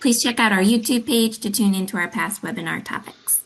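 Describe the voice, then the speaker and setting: With fairly even intonation, a woman speaks at a fairly quick pace in a fairly high pitch. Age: 30s. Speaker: arts agency accessibility director. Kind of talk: webinar introduction. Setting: online webinar.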